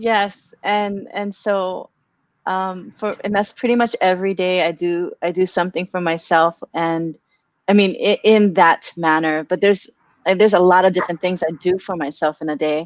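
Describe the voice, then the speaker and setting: A woman's unremarkable speaking voice, medium in pitch, at a moderate pace. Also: dry, close sound with no echo. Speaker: wellness talk show host. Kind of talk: casual livestream conversation. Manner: upbeat.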